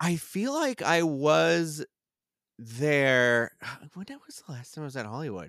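In a very clean recording with a silent background and a dry, close sound with no echo, a man speaks at a fairly high pitch and a fairly slow pace. His tone is animated, with lively intonation and big swings in loudness. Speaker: theme park media personality. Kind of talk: casual chat.

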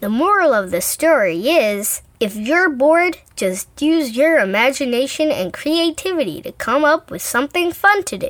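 A woman's put-on character voice, high-pitched with very wide pitch swings, at a moderate pace with hardly any pauses. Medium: audio drama. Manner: brisk, matter-of-fact, impatient.

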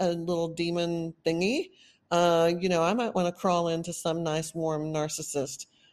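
In a Texan accent, a woman speaks fairly slowly with a fairly low pitch. Her loudness stays very even against a quiet background. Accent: Texan, noticeable. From Texas. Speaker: podcast host on narcissistic abuse recovery. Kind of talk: solo monologue, educational talk. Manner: casual, rambling, laughs often.

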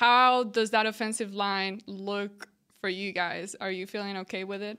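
In a very clean recording with a silent background, a woman speaks with a bright, sharp tone, a fairly high pitch and fairly even intonation. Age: young. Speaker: podcast co-host. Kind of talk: casual chat.

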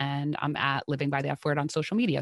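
Very deep and low-pitched, a woman with an American accent is recorded dry and close with no echo, against a quiet background. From New Jersey. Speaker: music festival content creator. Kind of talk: casual chat.

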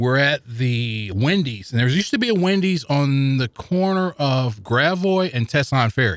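With an American accent and a plain, everyday voice, a man talks at a moderate pace and fairly high pitch, with lively intonation, very even loudness and hardly any pauses. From US Midwest, St. Louis. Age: 40s. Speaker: podcast listener guest. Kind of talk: casual interview. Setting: studio.

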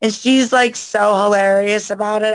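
In an American accent, a woman speaks at a moderate pace with a fairly high pitch. The sound is dry and close, with no echo. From US South, Florida (Orlando area). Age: 20s. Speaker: adult film performer. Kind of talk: casual chat. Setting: video call.

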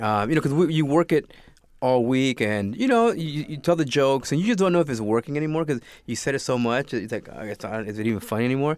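Talking at a very fast pace with a Spanish accent, a man uses a medium pitch and lively intonation on a very clean recording with a silent background. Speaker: actor. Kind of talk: casual interview.

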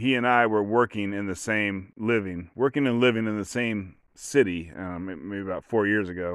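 Moderately paced male speech, fairly low in pitch, its pitch variation ordinary. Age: 40s. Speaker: podcast host. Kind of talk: solo storytelling monologue. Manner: halting, many false starts.

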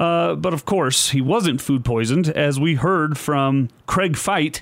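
On a very clean recording with a silent background, a man with a normal speaking voice talks at a fairly high pitch with ordinary variation. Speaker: podcast host. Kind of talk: solo sports commentary.

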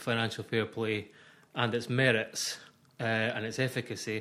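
A man speaks with a Scottish accent. His pitch is medium. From Scotland. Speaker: football journalist. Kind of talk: casual chat.

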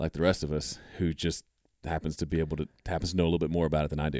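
Speaking very fast, a man with an American accent has a very deep, low pitch. The sound is dry and close, with no echo. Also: very clean recording, silent background. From US South, Mississippi. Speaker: home studio educator and producer. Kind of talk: casual interview chat.

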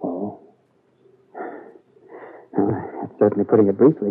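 In a put-on character voice with a husky, rough edge, a man speaks fairly slowly at a fairly low pitch and with fairly even intonation.

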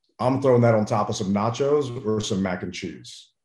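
At a moderate pace, a man talks in a dark, mellow tone at medium pitch. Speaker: barbecue and tailgating expert. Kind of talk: casual interview.

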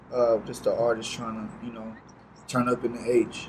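Over noticeable background noise, a man speaks at a medium pitch and a fairly slow pace. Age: 20s. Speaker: music artist. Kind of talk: casual chat.

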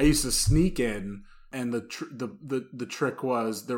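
Man at medium pitch with a New Jersey accent, fairly slow pace and ordinary pitch variation. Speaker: podcast host, guest. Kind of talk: casual chat. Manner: animated.

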